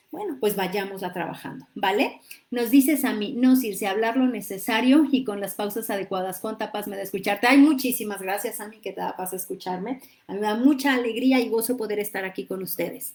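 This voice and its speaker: Her voice fairly high with an animated tone, a woman speaks at a fairly quick pace with ordinary pitch variation and big swings in loudness. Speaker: livestream host, psychology coach. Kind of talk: live-streamed talk with viewer comments. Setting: live stream on social media.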